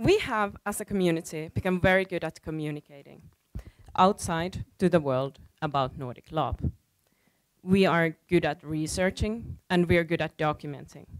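A woman with a plain, everyday voice speaks at a moderate pace and a fairly low pitch, using ordinary pitch variation against a quiet background. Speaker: conference speaker. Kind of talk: prepared talk. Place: stage. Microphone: headset.

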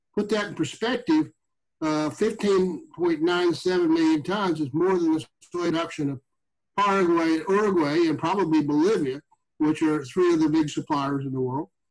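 The pitch of this man's voice is fairly high and varies in an ordinary way. He talks at a moderate speed. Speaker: consulting economist; panel economist. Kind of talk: webinar presentation. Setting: video call. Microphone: video call.

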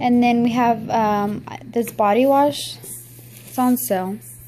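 Faint background noise sits behind a woman with a slightly mellow tone and fairly high pitch, who speaks slowly with fairly even intonation.

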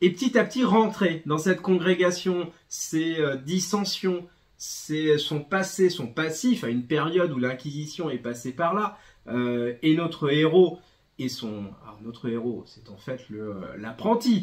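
Against a quiet background, a man talks at a very slow pace, pausing long and often. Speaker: bookseller presenting a comic. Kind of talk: book review talk. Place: shop.

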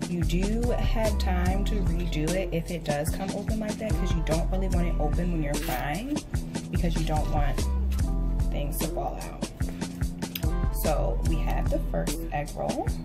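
A woman at a fairly slow pace with long, frequent pauses, over loud music in the background. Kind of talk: tutorial. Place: kitchen. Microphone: phone near.

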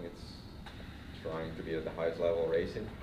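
Noticeable background noise fills the recording. A man talks through it. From Finland. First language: Swedish. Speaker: cycling coach. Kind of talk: interview. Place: gym. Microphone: handheld.

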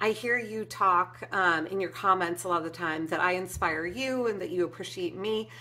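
A woman talks with hardly any pauses, her tone bright and sharp, her intonation lively, with vocal fry. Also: moderate pace. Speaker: craft YouTuber. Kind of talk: casual vlog update. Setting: home. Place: home room.

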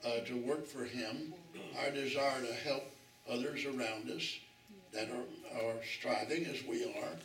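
A man's voice with ordinary pitch variation, audible room echo and light background noise. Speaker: bible study teacher. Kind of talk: sermon. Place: church.

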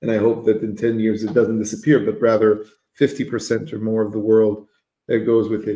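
A man's dark, mellow voice carries a monotone, flat intonation, with audible room echo and a quiet background. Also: moderate pace. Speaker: livestream host. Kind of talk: live interview. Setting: livestream video call. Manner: hesitant, many fillers. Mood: relaxed, thoughtful. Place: home room. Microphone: video call.

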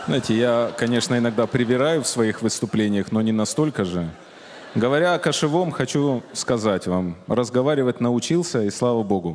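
A man talks at a moderate pace with lively intonation. Light background noise sits behind him. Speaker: guest. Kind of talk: comedic stage monologue. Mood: ironic, joking. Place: stage. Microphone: handheld.

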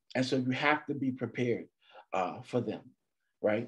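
The voice shows ordinary pitch variation over a quiet background. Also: man. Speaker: motivational speaker. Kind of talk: motivational talk. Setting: video call. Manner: animated. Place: home room. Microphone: video call.

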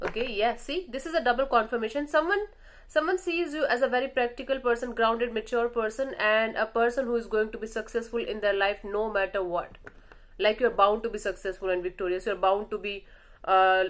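A woman talks fairly quickly, and her pitch varies in an ordinary way. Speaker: tarot reader. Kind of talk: tarot reading monologue. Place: home room. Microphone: phone near.

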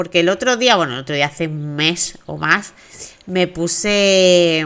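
Her pitch sits fairly low and her tone is fairly bright. The woman talks at a fairly slow pace. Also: ordinary pitch variation.

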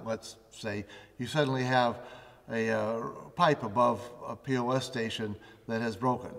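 A man is heard against a quiet background. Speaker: facilities management expert co-host. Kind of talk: instructional tutorial. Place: studio.

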